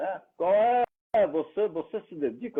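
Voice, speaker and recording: Here a man speaks at a fairly high pitch. His voice moves in very wide pitch swings. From Brazil, Santos (São Paulo coast). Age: 70s. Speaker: speaker and senior tech advocate. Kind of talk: interview conversation. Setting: live stream.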